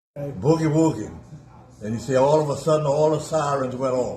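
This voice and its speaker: A man speaks at a moderate pace in a fairly high pitch, with noticeable background noise. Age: 80s+. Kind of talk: casual conversation, recounting history. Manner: insistent, argumentative.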